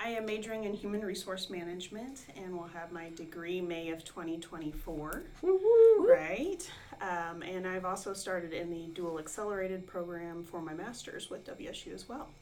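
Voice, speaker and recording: A woman's medium-pitched voice with hardly any pauses and audible room echo. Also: ordinary pitch variation, moderate pace. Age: 40s. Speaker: online adult student and administrative assistant. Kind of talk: interview.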